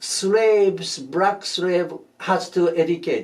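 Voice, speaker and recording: High pitch in a man's voice. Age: 80s+. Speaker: shiatsu master and teacher. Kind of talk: interview. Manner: halting, many fillers.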